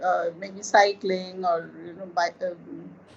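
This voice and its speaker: A woman is talking. Noticeable background noise can be heard. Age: 60s. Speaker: artist.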